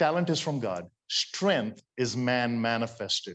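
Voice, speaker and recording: A man's medium-pitched voice with an Indian accent and ordinary pitch variation, against a quiet background. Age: 60s. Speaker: motivational speaker. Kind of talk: sermon.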